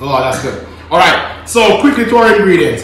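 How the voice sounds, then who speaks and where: There is audible room echo around this man's voice. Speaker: home cook host. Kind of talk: cooking tutorial. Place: kitchen. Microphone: camera far.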